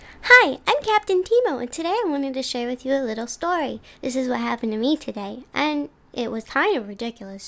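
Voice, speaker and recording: A woman does a put-on character voice. It sits high and moves at a fairly quick pace. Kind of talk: comic character monologue. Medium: solo performance. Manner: cheerful, giggly storytelling.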